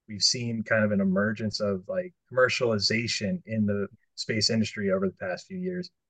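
A man with an unremarkable speaking voice talks at a fairly quick pace, medium in pitch, with lively intonation. The sound is dry and close with no echo. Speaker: podcast co-host. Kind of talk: interview.

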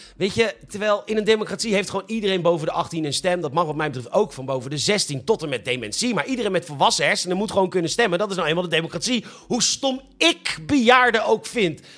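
Over noticeable background noise, a man talks at a very fast pace with a high pitch, lively intonation and hardly any pauses. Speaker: podcast host, comedic news presenter. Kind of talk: satirical news monologue.

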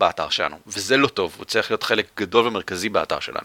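The sound of this man is dry and close, without any echo. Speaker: podcast host. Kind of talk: casual chat. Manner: fast.

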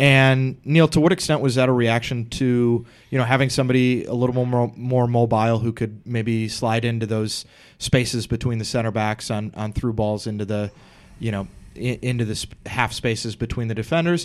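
An ordinary speaking voice talks at a moderate pace. Its intonation stays fairly even. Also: man, medium pitch for a man. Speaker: podcast host. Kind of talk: casual chat. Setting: studio. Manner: joking.

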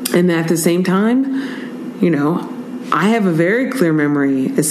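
A woman with a Northern California accent speaks at a fairly slow pace in a medium pitch, with lively intonation, an animated tone and very even loudness. Noticeable background noise and audible room echo are present. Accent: Northern California American English. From Oakland, California. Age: 40s. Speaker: bike tour entrepreneur and former educator. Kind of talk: casual interview. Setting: in person in Oakland.

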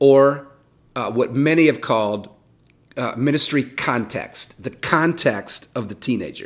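Pitch variation here is ordinary, and the pace fairly slow. It is a plain, everyday voice. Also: man. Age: 50s. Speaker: youth ministry leader. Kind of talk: interview.

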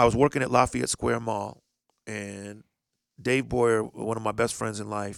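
A man with an unremarkable speaking voice and fairly low pitch talks at a moderate pace, his intonation fairly even but his loudness swinging widely. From Indianapolis, US Midwest. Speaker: DJ. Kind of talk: casual chat.

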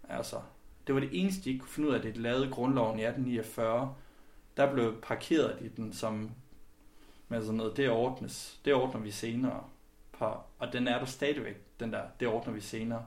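A man at a moderate pace with fairly even intonation, long and frequent pauses, and audible room echo. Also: medium pitch for a man. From West Jutland, Denmark (Skjern area). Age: 30s. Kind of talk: interview.

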